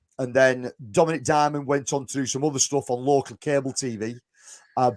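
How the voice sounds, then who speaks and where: With a strong northern English accent, this man has a dark, mellow tone, captured in a dry, close sound with no echo on a very clean recording with a silent background. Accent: thick northern English. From northwest England. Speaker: podcast host. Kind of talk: casual chat.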